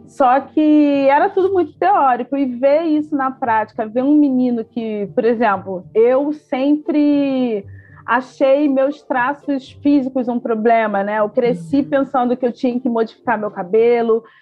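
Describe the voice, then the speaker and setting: A high-pitched woman with a Rio de Janeiro accent, lively intonation, a fairly slow pace and hardly any pauses. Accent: Carioca Brazilian Portuguese. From Rio de Janeiro, Baixada Fluminense. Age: 30s. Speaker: historian and toy store founder. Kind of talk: interview.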